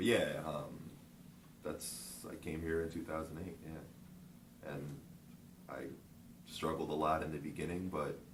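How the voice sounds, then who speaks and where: Speaking at a fairly slow pace with long, frequent pauses, a man uses a very deep, low pitch, fairly even intonation and vocal fry, and the room echo is audible. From Japan, moved to US (Virginia, Michigan) at 13. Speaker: interview guest. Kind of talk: interview. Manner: casual, repetitive fillers.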